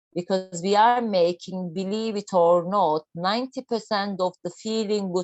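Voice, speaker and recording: Fairly slow speech in a Turkish accent with ordinary pitch variation. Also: woman. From Turkey. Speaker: doctor giving a health talk. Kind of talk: online health lecture.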